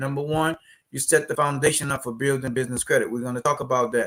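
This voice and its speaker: A man with a New Orleans accent at a very fast pace, on a very clean recording with a silent background. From New Orleans, Louisiana, US South. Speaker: business credit educator, company CEO. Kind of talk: live stream tutorial. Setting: live stream. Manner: animated.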